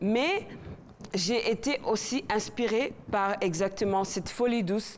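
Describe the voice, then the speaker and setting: At a very slow pace, a woman with a non-native accent and a fairly high pitch speaks with ordinary pitch variation and very even loudness. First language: not French (speaking French). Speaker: singer. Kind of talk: interview. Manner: halting.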